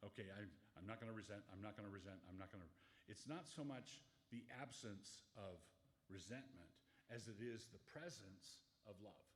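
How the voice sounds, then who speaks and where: A somewhat breathy man's voice, fairly low in pitch with ordinary pitch variation, at a moderate pace with long, frequent pauses and audible room echo. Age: 70s. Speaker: pastor. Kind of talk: Q&A talk to an audience. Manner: halting, self-correcting.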